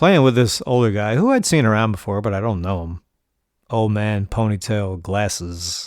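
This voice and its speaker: On a very clean recording with a silent background, a man with a New York accent talks at a moderate pace and a fairly low pitch, using ordinary pitch variation. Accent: New York area American. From New York, Rockland County. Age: 40s. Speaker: podcast host, poker player. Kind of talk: casual monologue storytelling.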